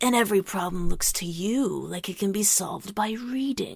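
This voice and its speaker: Using a put-on character voice, a woman speaks at a medium pitch and a moderate pace. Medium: read story. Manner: commanding, measured.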